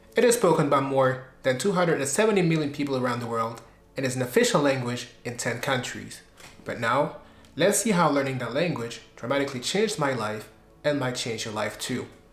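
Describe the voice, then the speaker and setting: With lively intonation and a fairly high pitch, a man talks at a fairly quick pace amid audible room echo. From Belgium. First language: French. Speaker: YouTuber, language learner. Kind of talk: personal vlog narration.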